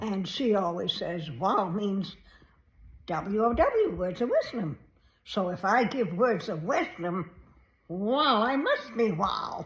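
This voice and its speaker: Over noticeable background noise, a woman speaks very slowly at a medium pitch with lively intonation. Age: 80s+. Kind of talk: casual talk to camera.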